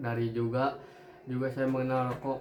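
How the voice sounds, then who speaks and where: Noticeable background noise and audible room echo surround a man speaking in a monotone, flat intonation. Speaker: interviewee, young smoker. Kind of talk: interview answers.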